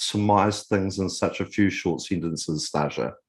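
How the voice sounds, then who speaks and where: A man with a New Zealand accent talks at a fairly quick pace. His pitch is fairly low, and the background is quiet. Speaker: podcast host. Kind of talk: interview.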